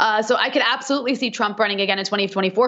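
A woman with a fairly high pitch against a quiet background. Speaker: political commentator. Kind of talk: interview. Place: home room. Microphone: video call.

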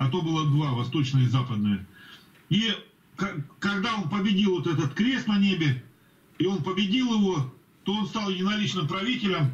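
Against noticeable background noise, a high-pitched man speaks at a moderate pace with lively intonation and long, frequent pauses. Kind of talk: group Bible study discussion. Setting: video call.

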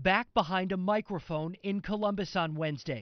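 A high-pitched man talks at a fairly quick pace. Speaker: TV news reporter. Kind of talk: TV news report.

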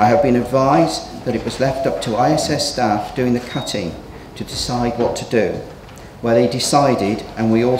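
Male speech at a moderate tempo, its pitch varying normally, with background noise clearly audible. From England. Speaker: local councillor. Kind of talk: council meeting debate. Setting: council chamber. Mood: critical, accusatory. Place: hall. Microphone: podium.

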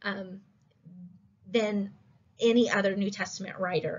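A woman talks rather slowly, her voice a little breathy. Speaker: instructor. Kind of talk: lecture. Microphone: webcam.

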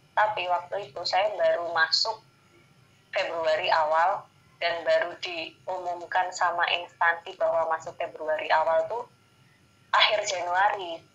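A woman speaks at a moderate pace with a fairly low pitch. Hers is an unremarkable speaking voice. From Indonesia. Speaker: civil servant engineer; interviewee. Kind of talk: interview. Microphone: video call.

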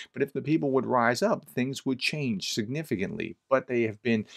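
A man's speech comes at a moderate pace, with a quiet background behind it. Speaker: commentator. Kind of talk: commentary. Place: home room.

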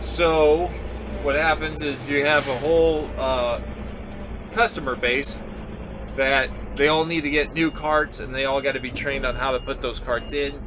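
A man's moderate pace is heard with music in the background. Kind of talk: casual vlog chat. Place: farm machine. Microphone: camera far.

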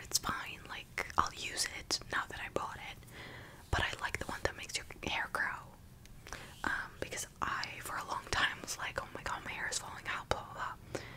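A soft-spoken woman whispers at a moderate pace. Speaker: vlogger. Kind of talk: casual vlog chat. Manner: soft close-mic ASMR whisper. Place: home room. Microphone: studio mic.

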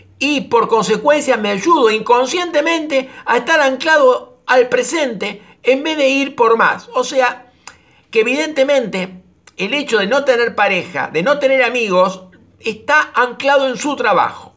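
A man speaks at an extremely high pitch, his tone bright and sharp. His pace is fairly slow, and his pitch variation is ordinary. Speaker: personal development coach. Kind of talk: reading listener mail with commentary.

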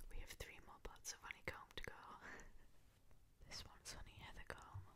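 Noticeable background noise sits behind the voice. A woman talks at a fairly quick pace. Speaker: youtuber. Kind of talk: casual talk to camera. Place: home room. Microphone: studio mic.

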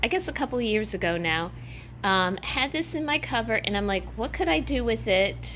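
With light background noise behind her, a woman speaks at a moderate pace with vocal fry. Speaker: home decor vlogger. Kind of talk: casual vlog chat. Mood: cheerful, upbeat. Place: home room. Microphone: phone near.

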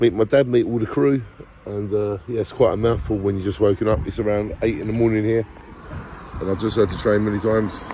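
Light background noise sits behind a man speaking fairly quickly at a fairly low pitch with fairly even intonation and a dry sound with no echo. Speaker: travel vlogger. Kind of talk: casual vlog chat. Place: street. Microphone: phone near.

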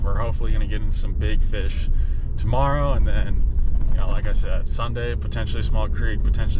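A man talking at a fairly quick pace, dry sound with no echo, over loud background noise. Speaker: outdoor vlogger. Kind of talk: casual vlog chat. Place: car. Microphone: phone near.

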